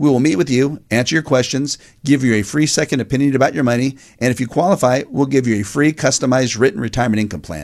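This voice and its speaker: Against a quiet background, a man at medium pitch talks at a very fast pace with ordinary pitch variation. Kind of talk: infomercial-style sales pitch. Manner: earnest, urgent, persuasive.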